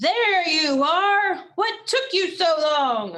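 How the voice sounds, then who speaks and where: In a put-on character voice, a woman speaks at an extremely high pitch and a very slow pace. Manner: stern.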